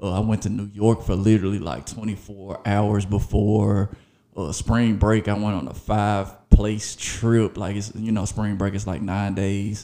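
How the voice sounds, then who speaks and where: On a very clean recording with a silent background, a man speaks at a fairly slow pace. His fairly low voice has a dark, mellow tone and fairly even intonation. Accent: Memphis. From Memphis, Tennessee. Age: 30s. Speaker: podcast host. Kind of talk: casual monologue.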